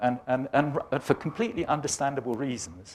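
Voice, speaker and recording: Speaking with an English accent, a man keeps a medium pitch with ordinary variation at a fairly quick pace. The recording is very clean, with a silent background. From England, Birmingham. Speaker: climate science professor. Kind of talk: lecture. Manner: animated.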